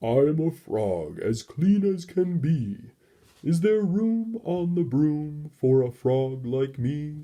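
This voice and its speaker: At a very slow pace, someone speaks in a put-on character voice of middle pitch. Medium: read story.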